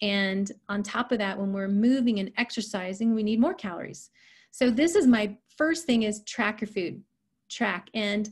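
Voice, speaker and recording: Against a quiet background, the speaker's somewhat breathy voice moves at a moderate pace with ordinary pitch variation. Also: woman, fairly high pitch for a woman. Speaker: health and nutrition coach. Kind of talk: online presentation.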